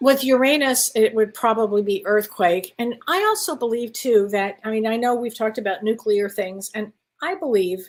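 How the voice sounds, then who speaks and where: A woman talks with an unremarkable speaking voice at a fairly high pitch and moderate pace. She uses ordinary pitch variation and hardly any pauses. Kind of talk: casual conversation on live talk show.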